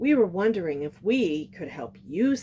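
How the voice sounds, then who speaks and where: Using a put-on character voice, a female-sounding speaker at a medium pitch for a woman moves at a moderate pace with very wide pitch swings. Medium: read story.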